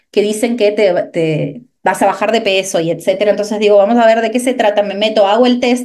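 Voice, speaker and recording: A woman's ordinary speaking voice at a medium pitch, fairly quick in pace with hardly any pauses and ordinary pitch variation. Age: 30s. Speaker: nutrition coach. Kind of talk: interview.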